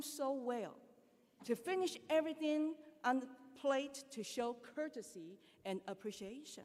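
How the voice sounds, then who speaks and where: In a Chinese accent, a woman speaks at a high pitch with very wide pitch swings. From China. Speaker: school teacher. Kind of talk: speech at school ceremony.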